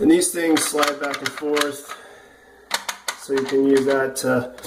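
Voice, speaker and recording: The speaker talks at a very slow pace. There is noticeable background noise. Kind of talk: DIY installation tutorial.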